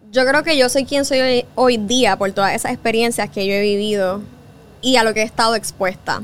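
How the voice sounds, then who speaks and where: A woman with a Puerto Rican accent at a fairly high pitch, moderate pace and ordinary pitch variation. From Puerto Rico. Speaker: journalist and podcast host. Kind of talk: interview conversation.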